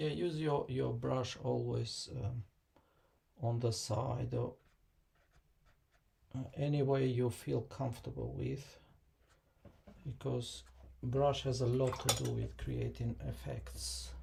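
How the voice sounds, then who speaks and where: The speech is very slow, with long, frequent pauses. Music plays in the background. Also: man. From Kosovo. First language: Albanian. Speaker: watercolor artist and teacher. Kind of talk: live painting tutorial and Q&A. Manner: hesitant, many fillers; mumbling.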